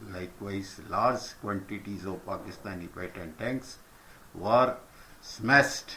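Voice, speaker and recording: A man at a fairly slow pace with a fairly low pitch and audible room echo. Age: old. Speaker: senior citizen recounting history. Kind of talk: reading a prepared letter.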